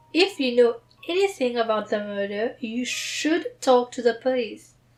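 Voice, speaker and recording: A high-pitched woman's voice with music in the background. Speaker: book reader. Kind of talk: book reading with commentary.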